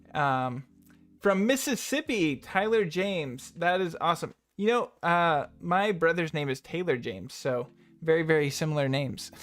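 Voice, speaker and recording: A moderate pace and lively intonation in a Pacific Northwest accent, with music in the background. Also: man, high pitch for a man. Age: 20s. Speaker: YouTube video editing tutor. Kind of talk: live stream Q&A chat. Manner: casual, many fillers.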